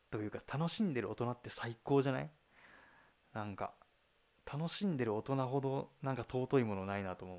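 Lively intonation marks this man's medium-pitched voice at a moderate pace. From Fukuoka, Japan. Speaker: fan livestreamer. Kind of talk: casual livestream chat reading comments. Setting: live audio stream. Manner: animated.

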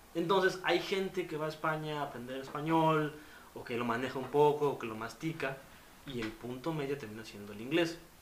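A man speaks fairly quickly at a fairly high pitch with ordinary pitch variation and big swings in loudness, with audible room echo and noticeable background noise. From Mexico. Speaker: communication and film student. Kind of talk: casual chat.

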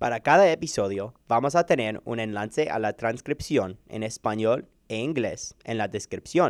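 A man's medium-pitched voice with an English accent, lively intonation, a fairly slow pace and hardly any pauses, in a dry, close sound with no echo. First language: English (speaking Spanish). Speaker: medical student, podcast co-host. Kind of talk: scripted introduction.

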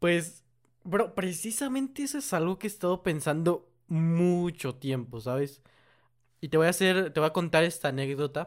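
In a very clean recording with a silent background, a high-pitched man talks at a moderate pace with lively intonation. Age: 18. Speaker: podcast co-host and video creator. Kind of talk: casual chat.

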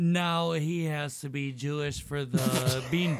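Against noticeable background noise, a man speaks at a very slow pace with fairly even intonation. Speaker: podcast intern. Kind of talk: crude, joking banter.

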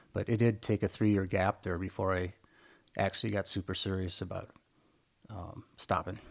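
An American-accented man with a fairly low pitch and fairly even intonation, at a moderate pace broken by long, frequent pauses, in a very clean recording with a silent background. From US Midwest, small farming town. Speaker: recovering alcoholic, retired engineer. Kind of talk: casual interview, personal testimony. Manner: halting, many fillers and repetitions.

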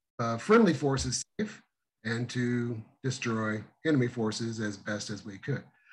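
A man speaks at a fairly slow pace with ordinary pitch variation. His is an unremarkable speaking voice. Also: medium pitch for a man. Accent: American. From Missouri. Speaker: emergency dispatch trainer. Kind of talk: interview.

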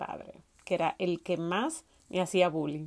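At a very slow pace, a woman with a Dominican accent speaks in a medium pitch. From Dominican Republic, Salcedo. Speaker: podcast host, fitness coach. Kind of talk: personal storytelling monologue.

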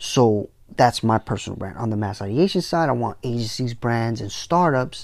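On a very clean recording with a silent background, a man with an American accent uses a normal speaking voice at medium pitch, moving at a fairly slow pace with ordinary pitch variation. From New York City, the Bronx. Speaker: podcast host, tech entrepreneur. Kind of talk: solo monologue on business. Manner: casual, many fillers.

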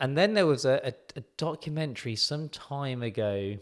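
On a very clean recording with a silent background, a man with an English accent speaks with ordinary pitch variation. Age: 30s. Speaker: podiatrist and clinic owner. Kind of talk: casual chat.

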